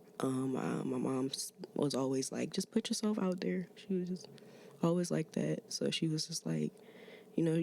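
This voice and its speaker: A woman with a slight Maryland accent, at a moderate pace. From Maryland, US (DC area). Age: 20s. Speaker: musician, rapper and poet. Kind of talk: casual podcast interview. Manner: halting, many fillers.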